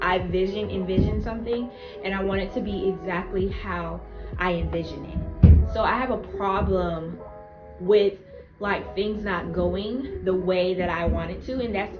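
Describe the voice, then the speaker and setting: Against noticeable background noise, a woman speaks at a fairly slow pace. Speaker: YouTuber and mother. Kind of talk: casual talk to camera. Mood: reflective, faith-focused. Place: home room. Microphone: camera far.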